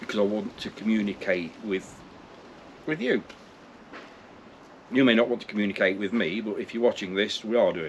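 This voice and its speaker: With an East Midlands accent, a man speaks at a fairly low pitch and a moderate pace, with ordinary pitch variation and long, frequent pauses. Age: 60s. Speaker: vlogger. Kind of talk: casual vlog monologue. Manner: halting, repetitive.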